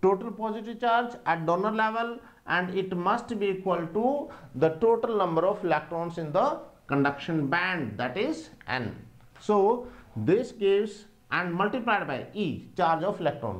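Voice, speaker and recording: A man's high voice at a moderate pace, with lively intonation. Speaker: teacher. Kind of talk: lecture. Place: classroom. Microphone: lapel.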